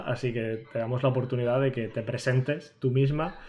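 This man talks at a medium pitch in a monotone, flat delivery. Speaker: podcast co-host. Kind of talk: casual chat.

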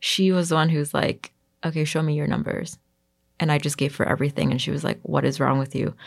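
A woman with an American accent speaks very fast in a very deep, low voice with vocal fry, monotone, flat intonation and very even loudness. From US, Queens, New York. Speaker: fashion designer. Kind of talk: interview. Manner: casual, frequent fillers like 'like' and 'um'.

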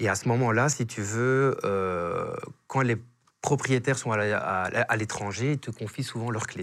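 A very slow delivery in a Belgian accent, with ordinary pitch variation. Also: man, medium pitch for a man. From Belgium. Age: 30s. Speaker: real estate agent. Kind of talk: casual interview chat. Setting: studio.

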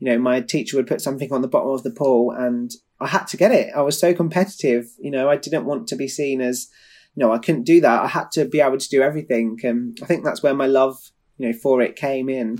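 A man with a southern English accent talks at a very fast pace, medium in pitch with ordinary pitch variation. The recording is very clean, with a silent background. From England, Kent. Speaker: competitive swimmer. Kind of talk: interview.

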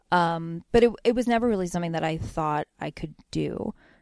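A woman with an American accent and a normal speaking voice, moderate pace and ordinary pitch variation, in a very clean, silent recording with a dry, close sound and no echo. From Pennsylvania, US (Bethlehem). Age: 30s. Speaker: cartoonist. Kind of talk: casual interview.

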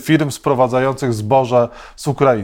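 A man with a Polish accent speaks at a medium pitch. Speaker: radio host. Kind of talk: interview.

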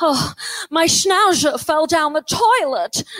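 A woman uses a put-on character voice, extremely high and breathy, at a fairly slow pace. The sound is dry and close with no echo. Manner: funny yet tragic.

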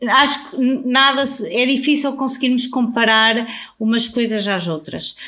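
A woman talks at a fairly slow pace in a high pitch with ordinary pitch variation. Her tone is bright and sharp. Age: 40s. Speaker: travel influencer. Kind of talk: casual interview.

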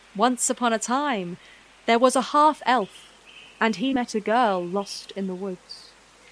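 A woman's fairly high-pitched voice, an ordinary speaking voice, with ordinary pitch variation at a fairly slow pace. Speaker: narrator. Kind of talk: dramatic fantasy narration, storybook style. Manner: measured, vivid, storytelling cadence.

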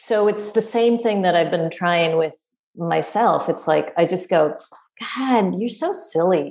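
At a fairly slow pace, a woman speaks with vocal fry. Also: medium pitch for a woman, ordinary pitch variation. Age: 50s. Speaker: yoga teacher and scholar. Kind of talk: casual interview chat.

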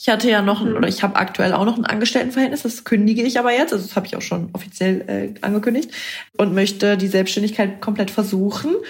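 A woman races along at a very fast pace, medium in pitch with ordinary pitch variation, as noticeable background noise plays behind her. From northern Germany, Bremen. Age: 20s. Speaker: content creator. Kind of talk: casual chat.

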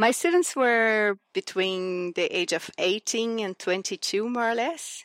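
In a very clean recording with a silent background and a dry, close sound with no echo, a woman with a Portuguese accent speaks at a fairly slow pace with hardly any pauses, her fairly high voice carrying lively intonation. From Brazil, Cerrado region. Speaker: sustainability consultant and lecturer. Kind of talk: interview.

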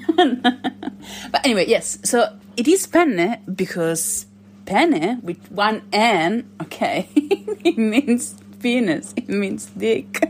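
Over noticeable background noise, a woman with an Italian accent and a fairly high voice speaks at a very slow pace with very wide pitch swings. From Italy. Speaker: caller leaving a voice message to a podcast.

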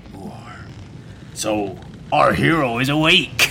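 Someone uses a put-on character voice at a very slow pace, with clear background noise behind it. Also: man, medium pitch for a man. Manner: gruff.

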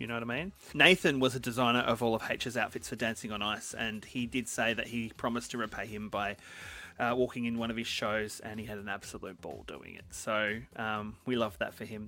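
With music in the background, a man with an Australian accent talks at a fairly quick pace in a medium pitch with fairly even intonation. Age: 40s. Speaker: podcast host. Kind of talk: casual chat.

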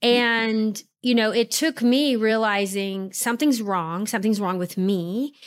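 Speaking at a fairly slow pace with hardly any pauses, a woman with an unremarkable speaking voice talks in a fairly high pitch with ordinary pitch variation, in a very clean recording with a silent background. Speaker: physician. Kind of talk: interview.

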